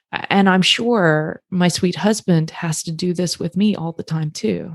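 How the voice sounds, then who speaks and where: A woman with an ordinary speaking voice talks at a fairly slow pace, fairly low in pitch with fairly even intonation. The sound is dry and close, with no echo. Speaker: couples therapist. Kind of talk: casual podcast discussion.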